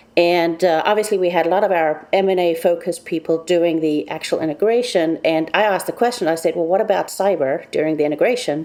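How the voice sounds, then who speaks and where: A woman's very fast talk with hardly any pauses, ordinary pitch variation and noticeable background noise. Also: fairly low pitch for a woman, very even loudness. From South Africa. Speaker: cybersecurity consultant. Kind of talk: interview.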